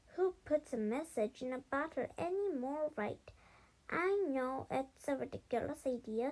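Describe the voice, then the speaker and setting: Using a put-on character voice, a woman speaks high and fairly slowly. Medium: read story. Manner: tearful, blubbering.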